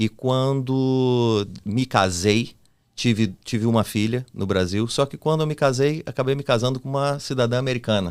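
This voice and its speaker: This man has an ordinary speaking voice at a medium pitch, with ordinary pitch variation. He talks at a moderate pace. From Brazil. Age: 40s. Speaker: podcast co-host. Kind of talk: casual chat.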